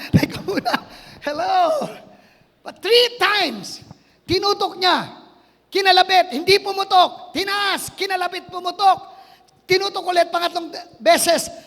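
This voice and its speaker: The delivery is animated yet fairly slow, broken by long, frequent pauses. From Philippines, Quezon province. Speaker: pastor. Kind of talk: sermon.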